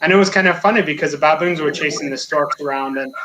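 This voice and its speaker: With an American accent, a man speaks very fast at a fairly high pitch with ordinary pitch variation, over noticeable background noise. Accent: American accent, slightly altered by French. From United States. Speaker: safari guide. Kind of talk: interview.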